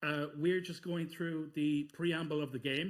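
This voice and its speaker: This man speaks in an Irish accent. His pitch sits high. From Ireland. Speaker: speedrunner. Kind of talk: live gameplay commentary. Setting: live-streamed marathon event.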